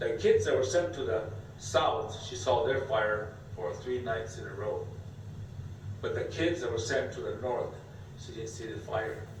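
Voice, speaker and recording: The speech moves at a fairly slow pace with long, frequent pauses and big swings in loudness, heard through audible room echo and noticeable background noise. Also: man. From US West, Nevada. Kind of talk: oral storytelling; casual explanation. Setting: visitor center.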